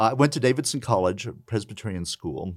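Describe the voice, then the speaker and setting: On a very clean recording with a silent background, a man with an American accent uses a plain, everyday voice and lively intonation. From US South, southern West Virginia (Appalachia). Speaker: law professor. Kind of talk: interview.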